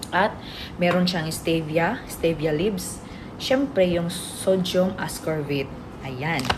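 A woman with a fairly low pitch at a very slow pace, with ordinary pitch variation, audible room echo and noticeable background noise. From Philippines, Visayas. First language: Bisaya (speaking Tagalog). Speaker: vlogger and product seller. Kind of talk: product demo and sales pitch. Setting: at employer's home, boss present. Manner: animated, laughing often.

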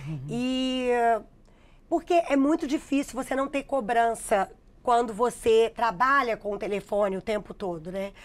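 Speaking at a moderate pace, the woman uses ordinary pitch variation. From Minas Gerais, Brazil (Contagem, near Belo Horizonte). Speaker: digital influencer and math teacher. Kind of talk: interview. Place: studio. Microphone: lapel.

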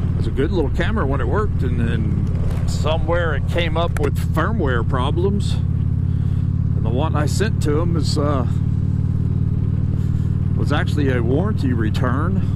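A man speaks at a fairly slow pace over loud background noise. The sound is dry, with no echo. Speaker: motorcycle vlogger. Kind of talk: casual vlog chat. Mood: relaxed, mildly annoyed. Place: motorbike. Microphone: helmet.

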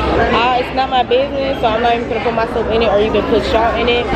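A woman's very fast speech over crowd noise in the background. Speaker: high school vlogger. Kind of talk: casual vlog chat. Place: cafe. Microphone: phone near.

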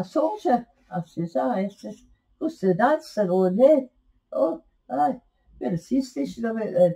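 Against a quiet background, a woman with a fairly high pitch and a dark, mellow, somewhat breathy tone speaks at a moderate pace, her very wide pitch swings broken by long, frequent pauses. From Scotland. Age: 80s+. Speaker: interviewee. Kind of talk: storytelling interview. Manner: halting. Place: home room. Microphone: webcam.

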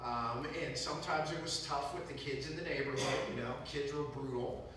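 A man's fairly even intonation amid light background noise and strong room echo. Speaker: guest lecturer. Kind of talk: lecture.

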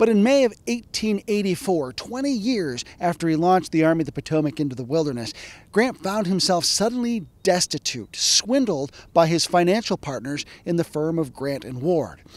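A high male voice with very wide pitch swings. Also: moderate pace, dry sound with no echo. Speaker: historian. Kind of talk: educational narration. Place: open country. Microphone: handheld.

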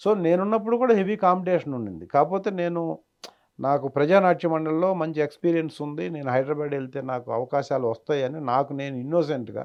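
Lively intonation marks this man's fairly high-pitched, unremarkable speaking voice. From Andhra Pradesh, Kandukur, Prakasam district. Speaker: film actor. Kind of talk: interview.

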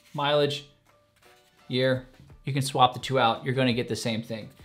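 A man is speaking while faint music plays in the background. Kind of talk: tutorial. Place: home room.

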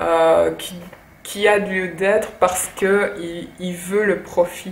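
A woman speaks at medium pitch in a monotone, flat delivery. Audible room echo and light background noise surround her voice. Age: 30s. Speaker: YouTuber and blogger; YouTuber, blogger. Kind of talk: book review monologue. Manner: halting. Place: home room. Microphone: phone near.

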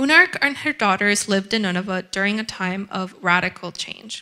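A woman speaks in a fairly high, bright, sharp voice against a quiet background. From Ecuador. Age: young. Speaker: curator and writer; exhibition guide or curator. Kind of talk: guided gallery tour. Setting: gallery with audience. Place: hall. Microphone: handheld.

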